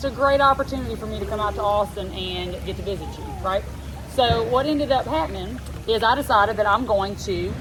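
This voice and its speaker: With an animated tone and a South Louisiana accent, a woman speaks at a fairly quick pace against noticeable background noise. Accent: Southern US, South Louisiana. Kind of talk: casual storytelling to camera. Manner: chatty, animated.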